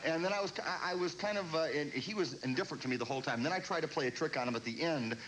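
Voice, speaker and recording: With lively intonation, a man talks at a very fast pace with hardly any pauses over light background noise. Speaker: comedian talk-show guest. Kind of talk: comedic talk-show anecdote. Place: studio. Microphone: lapel.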